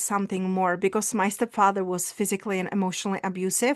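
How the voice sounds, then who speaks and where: A woman speaks in a Czech accent. She goes at a very fast pace over a quiet background. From Czech Republic. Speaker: visibility coach and speaker. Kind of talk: personal testimony in interview.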